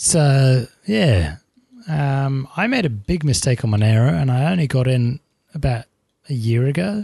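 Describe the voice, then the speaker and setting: A man with a medium pitch and a dark, mellow, somewhat breathy tone talks at a fairly slow pace, with lively intonation and very even loudness. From England. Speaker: tech podcast co-host. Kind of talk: casual chat. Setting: remote call.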